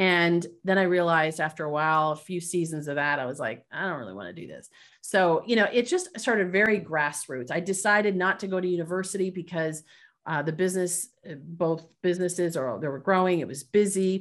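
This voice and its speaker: A normal speaking voice from a woman with a Canadian accent, fairly low in pitch, ordinary pitch variation, fairly quick pace, quiet background. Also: big swings in loudness. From Canada. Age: 40s. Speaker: business leadership coach. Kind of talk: interview conversation.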